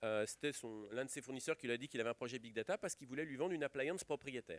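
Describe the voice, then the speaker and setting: Speaking at a very fast pace, a man uses medium pitch with ordinary pitch variation in a dry, close sound with no echo. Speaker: IT industry executive speaking at a conference. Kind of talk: conference talk. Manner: loud.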